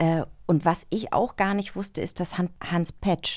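The recording is very clean, with a silent background. A woman speaks at medium pitch in a dark, mellow tone. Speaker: podcast co-host. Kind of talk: casual chat. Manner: animated.

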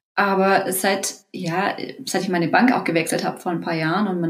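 With audible room echo, a woman speaks at a medium pitch and a moderate pace, with ordinary pitch variation. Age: 30s. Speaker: course participant, parent on leave. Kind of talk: interview.

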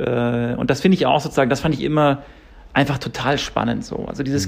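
This man talks at a very fast pace with a medium pitch, some vocal fry, and ordinary pitch variation. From Munich, Bavaria. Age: 30s. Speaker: screenwriter and director. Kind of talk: interview. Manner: halting, many fillers.

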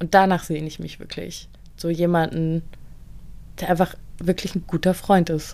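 On a very clean, silent-background recording, a woman speaks at a fairly low pitch in a dark, mellow tone, monotone and flat, at a moderate pace with long, frequent pauses and big swings in loudness. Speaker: podcast co-host. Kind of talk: casual chat.

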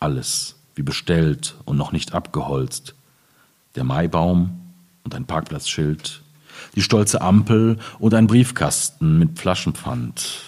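A man talks in a very deep, low pitch with lively intonation. He goes at a very slow pace with long, frequent pauses. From Ruhr area, eastern edge near Hamm. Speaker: poet. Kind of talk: reading aloud; public conversation.

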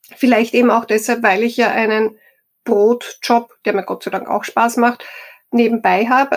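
A woman's fairly high, fairly even voice at a fairly slow pace. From Austria, Styria. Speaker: HR professional and coach. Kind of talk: interview.

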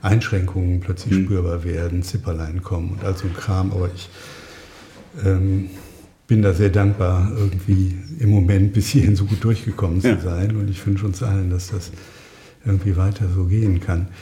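A man with a very deep, low pitch speaks at a moderate pace in a monotone, flat way. Long, frequent pauses break his speech, and there is noticeable background noise. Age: 60s. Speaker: psychotherapist. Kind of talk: casual interview. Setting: his dining room.

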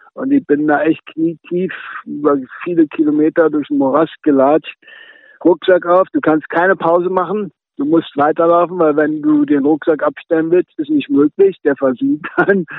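This man has a fairly high pitch and speaks at a moderate pace with ordinary pitch variation. It is an unremarkable speaking voice. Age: 50s. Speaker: long-distance hiker with brain tumor. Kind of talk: remote interview.

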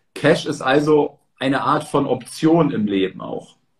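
A somewhat breathy male voice, fairly high in pitch, with ordinary pitch variation. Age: 30s. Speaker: stock and real estate content creator, interviewer. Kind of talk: interview. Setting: livestream.

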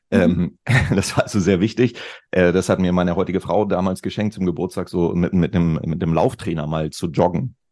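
A man talks with a very deep, low pitch. His intonation stays fairly even. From Lower Saxony, northern Germany (Celle). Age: 50s. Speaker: digital consultant, former radio host. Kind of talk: casual chat.

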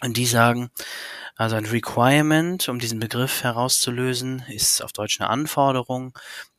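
This man has an unremarkable speaking voice, pitched in the medium range and delivered at a moderate pace. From Hamburg, northern Germany. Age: 30s. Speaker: business consultant, requirements engineer. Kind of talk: interview.

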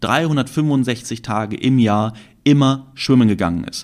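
A man talks with lively intonation, his voice sitting at a medium pitch. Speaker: trading podcast host. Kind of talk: solo podcast monologue. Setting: recording with camera. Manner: spontaneous, with fillers and restarts.

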